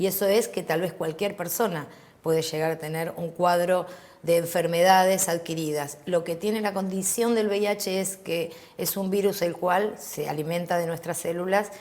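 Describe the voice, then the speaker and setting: A woman's unremarkable speaking voice sits at a fairly low pitch, keeping fairly even intonation at a moderate pace. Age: 50s. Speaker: HIV activist. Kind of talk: interview.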